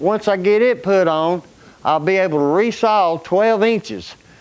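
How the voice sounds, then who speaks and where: In an Alabama accent, a man talks at a fairly slow pace with ordinary pitch variation. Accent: Southern US (Alabama). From Alabama, US South. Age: 60s. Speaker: retired construction worker and coal miner, DIY YouTuber. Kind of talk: casual shop tour vlog. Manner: halting, many fillers and repeats.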